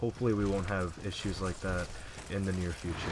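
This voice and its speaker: A soft-spoken man talks at a fairly quick pace. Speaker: gaming YouTuber. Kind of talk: gameplay commentary. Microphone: audio balance was poor, voice hard to hear.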